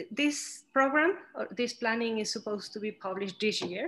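Her intonation lively, a woman speaks with a Spanish accent. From Mexico. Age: 30s. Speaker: architect. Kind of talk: interview.

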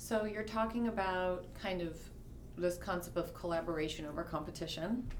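The speaker talks at a moderate pace with an American accent. Pitch varies in an ordinary way, and room echo is audible. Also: woman, fairly low pitch for a woman. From New York City. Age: 40s. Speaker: podcast host, lawyer. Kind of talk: interview conversation.

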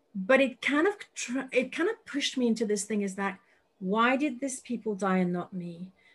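A woman's somewhat breathy voice with lively intonation at a moderate pace. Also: fairly high pitch for a woman, quiet background. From France, Paris. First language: French. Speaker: psychic medium and business coach. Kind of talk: interview chat.

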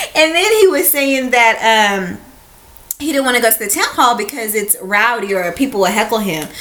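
Audible room echo and noticeable background noise surround a woman's high-pitched voice. She speaks at a moderate pace with very wide pitch swings. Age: 30s. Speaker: podcast co-host. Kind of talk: casual chat.

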